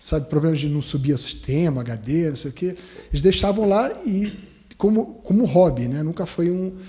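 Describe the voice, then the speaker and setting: A man's fairly high voice with a dark, mellow tone, lively intonation and a moderate pace. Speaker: dentist, dental radiologist. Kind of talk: podcast interview. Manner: halting, many restarts.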